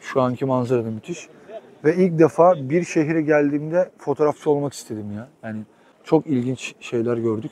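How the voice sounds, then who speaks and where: At a moderate pace, the voice shows ordinary pitch variation and big swings in loudness against noticeable background noise. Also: man, fairly high pitch for a man. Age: 30s. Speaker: travel vlogger. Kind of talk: casual travel vlog narration.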